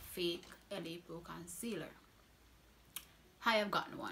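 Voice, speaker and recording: In a Jamaican accent, a woman speaks at a very slow pace with a medium pitch and ordinary pitch variation. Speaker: beauty vlogger. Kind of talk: product review. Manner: casual, chatty.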